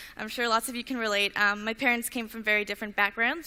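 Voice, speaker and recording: Bright, sharp tone in a woman's raised, projected voice. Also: very clean recording, silent background. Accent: Canadian. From Canada, Vancouver Island. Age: young, 18. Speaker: inventor, student speaker. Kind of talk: talk to an audience.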